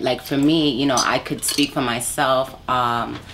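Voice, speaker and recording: With an American accent, a woman speaks at a very slow pace in a very deep, low pitch. Her intonation is fairly even, and background noise is noticeable. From New York, Brooklyn. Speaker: R&B soul singer. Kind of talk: interview.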